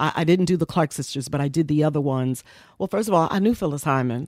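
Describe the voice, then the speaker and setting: A woman with an American accent speaks with a very deep, low pitch and ordinary pitch variation. The recording is very clean, dry and close, with a silent background and no echo. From New York (Bronx, Harlem). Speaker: radio personality and music executive. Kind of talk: interview storytelling. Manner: soothing.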